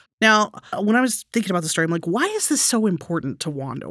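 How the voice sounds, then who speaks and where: In a normal speaking voice and an American accent, a woman talks at a medium pitch on a very clean recording with a silent background. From Texas. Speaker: podcast host, storyteller. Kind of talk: casual storytelling chat.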